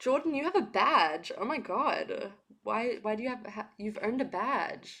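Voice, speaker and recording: Her pitch swings very widely as this woman talks. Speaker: streamer. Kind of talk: casual live stream chat. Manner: loud; animated.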